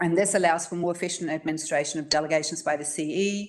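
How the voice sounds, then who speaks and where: This woman has a New Zealand accent and a fairly low pitch. She talks at a fairly quick pace with fairly even intonation, and audible room echo surrounds her. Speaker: council staff member presenting policy. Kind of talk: council briefing presentation. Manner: fast.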